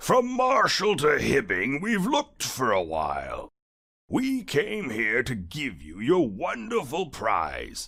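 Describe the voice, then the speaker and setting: A man uses a put-on character voice, raised and projected. His pitch is fairly high and his pace fairly slow. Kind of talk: bedtime story. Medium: read story. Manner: friendly, beaming, playful.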